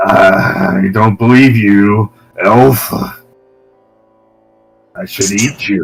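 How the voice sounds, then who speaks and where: Faint music plays behind a man's put-on character voice, medium in pitch and very slow, broken by long, frequent pauses. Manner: threatening, growling.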